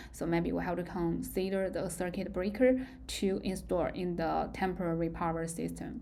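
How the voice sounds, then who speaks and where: At a moderate pace, a woman speaks in a Chinese accent, with audible room echo. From China. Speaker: university lecturer. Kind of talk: lecture. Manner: halting.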